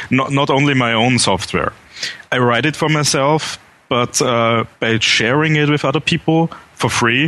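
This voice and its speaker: Very even loudness in an Austrian accent, with noticeable background noise. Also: man, medium pitch for a man, ordinary pitch variation, moderate pace. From Vienna, Austria. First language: German. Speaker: software developer. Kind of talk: interview. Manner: halting, repeats words.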